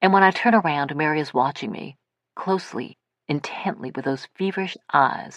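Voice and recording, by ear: Against a quiet background, the text is read aloud in a natural voice with ordinary pitch variation.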